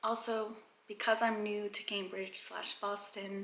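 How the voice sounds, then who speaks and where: In a room with audible echo, a woman of medium pitch speaks at a fairly slow pace. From Kazakhstan. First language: Russian and Kazakh. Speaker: vlogger. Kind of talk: casual vlog talk to camera.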